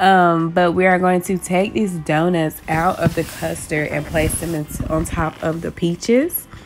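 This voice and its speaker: Faint music plays in the background as a woman speaks at a fairly low pitch and a fairly slow pace. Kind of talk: tutorial. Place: kitchen. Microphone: phone near.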